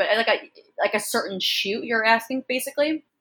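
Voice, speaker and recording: A woman with an American accent and a bright, sharp tone. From upstate New York, Rochester. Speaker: fashion model. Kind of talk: interview.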